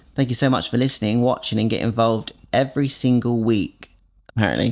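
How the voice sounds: Ordinary pitch variation from a man speaking at a fairly quick pace. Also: medium pitch for a man.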